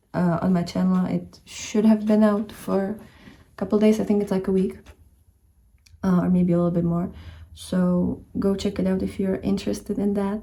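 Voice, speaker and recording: A woman talks with a Czech accent. Her pace is moderate. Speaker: book and bullet journal vlogger. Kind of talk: casual vlog chat. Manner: hesitant, frequent fillers and self-corrections.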